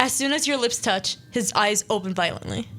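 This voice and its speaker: Her voice is an unremarkable speaking voice, a woman's fairly high pitch with ordinary pitch variation. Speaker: radio show host. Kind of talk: casual radio talk, interactive story reading.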